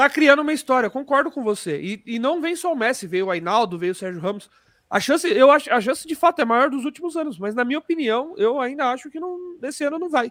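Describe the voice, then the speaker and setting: The speaker has an animated tone and a very fast pace. There are hardly any pauses. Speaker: football podcast host. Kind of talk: casual chat.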